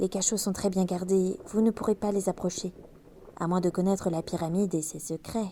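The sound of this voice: Intonation stays fairly even throughout this unforced reading voice.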